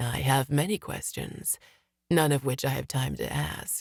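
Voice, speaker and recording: In a put-on character voice, a man talks at a moderate pace with a resonant, medium-pitched sound. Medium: read story. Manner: calm, confident.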